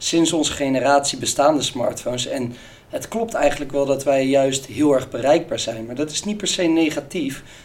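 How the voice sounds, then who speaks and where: Fairly high-pitched male voice at a moderate pace, ordinary pitch variation, noticeable background noise. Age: 20s. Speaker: business student and sales employee. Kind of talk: casual interview.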